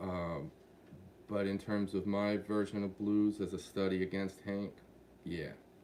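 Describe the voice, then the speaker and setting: A man's fairly low voice, dark and mellow in tone, at a fairly slow pace. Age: 60s. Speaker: singer-songwriter. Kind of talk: live Q&A. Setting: livestream. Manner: casual, halting with fillers.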